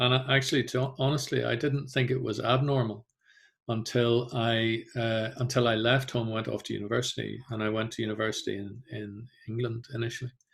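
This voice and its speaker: Speaking in a Northern Irish accent, a man with a medium pitch and a somewhat breathy voice talks at a fairly quick pace in a monotone, flat intonation on a very clean recording with a silent background. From Northern Ireland. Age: 50s. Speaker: genocide and trauma educator. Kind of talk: talk to community group. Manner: hesitant, many fillers.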